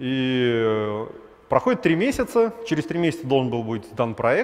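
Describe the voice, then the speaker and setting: The speaker is a man. His intonation is lively. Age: 30s. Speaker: startup founder, former realtor; conference speaker. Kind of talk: conference talk; conference talk, storytelling. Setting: stage with audience. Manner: animated; casual, filler-heavy. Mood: wry, self-deprecating storytelling. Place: hall. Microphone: headset.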